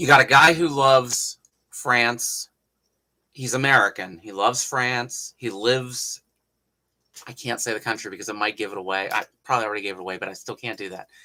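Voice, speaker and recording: Speaking at a fairly quick pace, a man of medium pitch uses a bright, sharp tone, ordinary pitch variation, and big swings in loudness. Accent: Appalachian. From Appalachia, US. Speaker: historical craftsman, hatmaker. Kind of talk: livestream tutorial and chat. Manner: casual, conversational.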